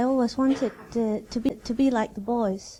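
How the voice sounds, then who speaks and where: A woman with a Danish accent, fairly even intonation and a moderate pace, in a very clean recording with a silent background. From Denmark. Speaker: seminar participant. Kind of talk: personal testimony. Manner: halting.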